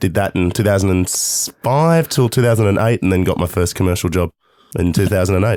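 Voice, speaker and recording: Speaking at a fairly quick pace with an Australian accent, a man's very deep, low voice has a dark, mellow tone, ordinary pitch variation and very even loudness, on a very clean recording with a silent background. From Melbourne, Australia. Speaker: radio host and comedian. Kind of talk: casual chat. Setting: radio studio.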